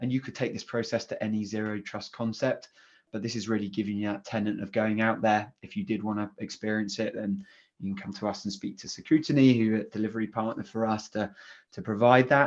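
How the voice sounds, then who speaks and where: A man speaks at a very fast pace in a fairly low pitch with fairly even intonation. Behind him the background stays quiet. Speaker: cloud security specialist. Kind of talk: conference presentation.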